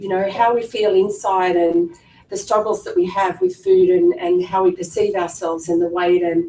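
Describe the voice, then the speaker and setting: Noticeable background noise sits behind a woman speaking with an Australian accent. Her medium-pitched voice moves at a moderate pace with fairly even intonation. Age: 50s. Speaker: clinic staff member and former patient. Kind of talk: personal testimony at information seminar. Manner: casual, hesitant with fillers.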